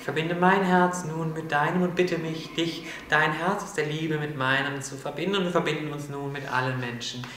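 A man's fairly quick speech with fairly even intonation, amid light background noise and audible room echo. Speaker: spiritual video host. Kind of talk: prayer. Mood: solemn, heartfelt. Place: studio.

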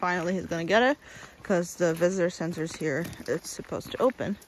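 A woman speaks in a dry room with no echo. Light background noise sits under her voice. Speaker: travel vlogger. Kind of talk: casual vlog chat. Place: waterside. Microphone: phone near.

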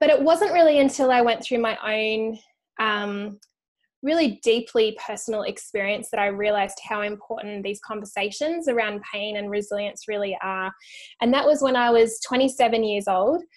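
Spoken with an American accent, the voice moves at a moderate pace with ordinary pitch variation. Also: woman, fairly high pitch for a woman. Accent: Australian, slightly shifted by living in US. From Australia. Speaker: author and resilience speaker. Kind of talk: interview.

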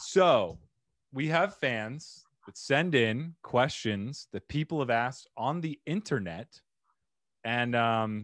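With lively intonation, big swings in loudness and long, frequent pauses, a speaker with an American accent is heard in a dry sound with no echo over a quiet background. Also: man. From Arizona. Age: 30s. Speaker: podcast host and digital marketer; podcast host. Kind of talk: casual interview. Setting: video call. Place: home room. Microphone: studio mic.

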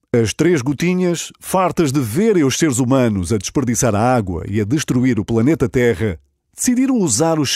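This man speaks with a European Portuguese accent. His pitch swings very widely against a quiet background. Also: dry sound with no echo. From Portugal. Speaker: radio presenter. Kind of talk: children's story read aloud. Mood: warm, smiling. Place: studio.

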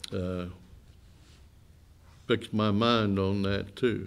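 Very slowly, a man speaks with vocal fry at a fairly low pitch, his intonation fairly even.

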